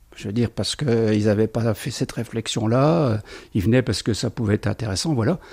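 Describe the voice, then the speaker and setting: A man talks at a fairly quick pace in a medium pitch with a dark, mellow tone. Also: ordinary pitch variation, dry, close sound with no echo. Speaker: retiree, shared housing resident. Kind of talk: interview at home.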